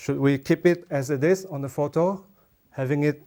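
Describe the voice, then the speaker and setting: Moderately paced man with a Chinese accent, a fairly high pitch and a dark, mellow tone. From Malaysia. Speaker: watercolour artist. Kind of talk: art demonstration tutorial.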